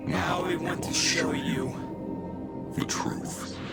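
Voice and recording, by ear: A man whispering in a put-on character voice with vocal fry at a slow pace, clear music in the background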